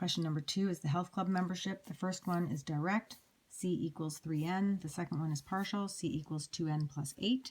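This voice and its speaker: Somewhat breathy and fairly low in pitch, a woman with a Canadian accent speaks at a fairly quick pace with ordinary pitch variation. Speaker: math teacher. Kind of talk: lecture.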